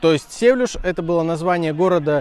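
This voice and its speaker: Noticeable background noise sits behind a man talking fairly quickly. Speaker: football travel vlogger. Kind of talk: vlog commentary. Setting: outdoors at stadium.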